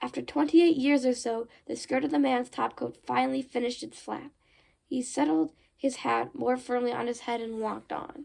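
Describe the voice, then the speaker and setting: In a put-on character voice, a woman speaks high and raspy at a moderate pace, on a very clean recording with a silent background. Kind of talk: horror novel read aloud. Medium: read story. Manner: casual, chatty asides.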